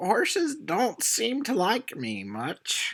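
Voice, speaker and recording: At a very slow pace, a man uses a put-on character voice with a high pitch. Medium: actual play. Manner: rambling, old-timey.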